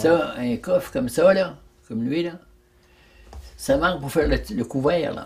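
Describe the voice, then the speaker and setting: A man with vocal fry and lively intonation at a fairly slow pace. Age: 80s+. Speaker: craftsman carpenter and boat builder. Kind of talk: interview answer.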